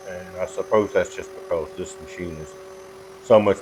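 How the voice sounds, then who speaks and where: A man at a moderate pace with a relaxed tone, music playing in the background. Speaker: woodworker, CNC hobbyist. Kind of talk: casual tutorial talk to camera. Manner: relaxed, folksy.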